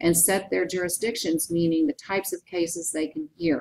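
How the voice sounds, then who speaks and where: At a moderate pace, a woman talks in a plain, everyday voice. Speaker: teacher. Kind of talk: lecture. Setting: recorded PowerPoint narration.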